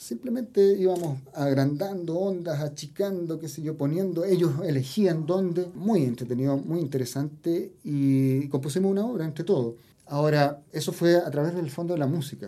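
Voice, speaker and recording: A man's dark, mellow voice at a fairly high pitch, with ordinary pitch variation, a moderate pace and hardly any pauses. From Los Andes, central Chile. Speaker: composer and music teacher. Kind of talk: interview about music.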